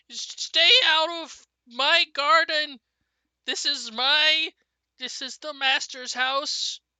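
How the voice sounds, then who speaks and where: A put-on character voice, shrill and high-pitched, drags along at a very slow pace. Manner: shrieking.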